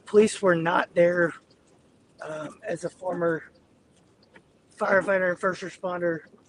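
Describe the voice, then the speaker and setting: Over noticeable background noise, a man with a high pitch speaks at a fairly slow pace in a monotone, flat intonation, with long, frequent pauses. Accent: American. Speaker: storm chaser live streamer. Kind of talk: live stream commentary while driving. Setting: in a car.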